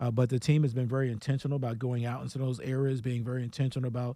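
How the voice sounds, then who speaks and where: A man with an American accent speaks very fast in a dark, mellow tone at medium pitch, on a very clean recording with a silent background. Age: 60s. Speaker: police commissioner. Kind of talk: radio interview. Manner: enthusiastic.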